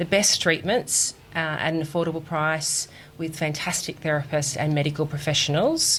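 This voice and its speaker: With an Australian accent, a woman speaks in a very deep, low pitch with fairly even intonation. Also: moderate pace. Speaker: recruitment executive at a clinic chain. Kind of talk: podcast interview.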